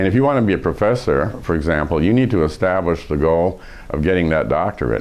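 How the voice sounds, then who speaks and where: Against noticeable background noise, a man with an American accent and a very deep, low pitch talks at a very fast pace with very even loudness. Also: lively intonation. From USA, raised partly in Iran. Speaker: professor and leadership expert. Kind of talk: interview. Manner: hesitant, many fillers.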